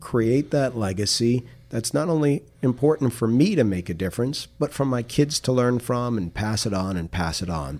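With an American accent, a man speaks at medium pitch and a moderate pace. His tone is dark and mellow, and his intonation is lively. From Queens, New York. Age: 50s. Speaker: media coach, former TV reporter. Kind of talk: interview.

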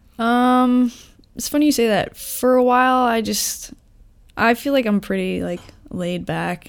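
A normal speaking voice moves at a fairly slow pace with ordinary pitch variation, on a very clean recording with a silent background. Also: woman. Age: 30s. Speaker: guest sharing life lessons. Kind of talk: casual chat.

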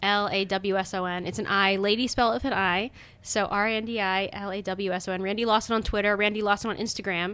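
Bright and sharp, a woman's voice races at a very fast pace in a monotone, flat intonation, on a very clean recording with a silent background. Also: medium pitch for a woman. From Baltimore County, Maryland. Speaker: comedian and designer. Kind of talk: casual interview chat.

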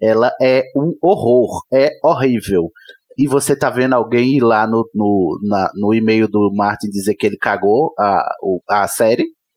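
A man's medium-pitched voice with ordinary pitch variation and very even loudness, at a fairly slow pace, in a dry, close sound with no echo. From Brazil. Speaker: podcaster. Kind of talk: casual chat.

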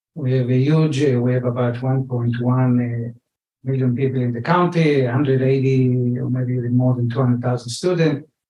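A man's dark, mellow, somewhat breathy voice at medium pitch, fairly slow and monotone with flat intonation. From Israel. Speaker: economic development manager. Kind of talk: panel discussion. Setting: stage with audience.

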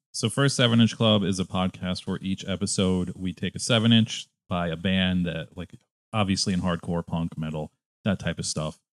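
Someone with an American accent speaks at a moderate pace with ordinary pitch variation. The sound is dry and close with no echo, on a very clean recording with a silent background. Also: man, very deep, low pitch for a man. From Connecticut. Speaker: podcast host. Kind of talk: casual chat.

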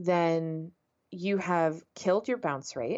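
A woman with a normal speaking voice and a fairly low pitch speaks at a fairly slow pace. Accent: American. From San Antonio, Texas. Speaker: ad tech company co-founder. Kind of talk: interview.

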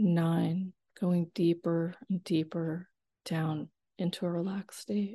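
At a very slow pace, the speaker's dark, mellow tone comes through somewhat breathy, with fairly even intonation. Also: woman, fairly low pitch for a woman. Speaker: hypnotherapist. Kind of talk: guided hypnosis induction, countdown and affirmations. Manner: slow, soothing, hypnotic cadence.

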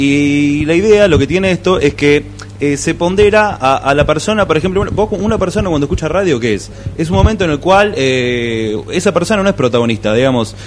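Against noticeable background noise, a man with a fairly high pitch talks at a fairly quick pace, his pitch swinging very widely. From Buenos Aires, Argentina. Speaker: podcast commentator. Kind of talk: casual chat. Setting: live podcast festival table.

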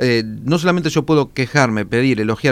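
A man with a plain, everyday voice, medium pitch, lively intonation and a fairly quick pace. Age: 40s. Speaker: public relations consultant. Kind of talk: radio interview.

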